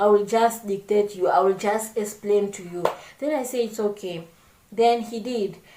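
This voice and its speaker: Fairly slow speech amid noticeable background noise. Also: woman. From Congo. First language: not English. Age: 20s. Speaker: vlogger. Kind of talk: casual chat. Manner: halting.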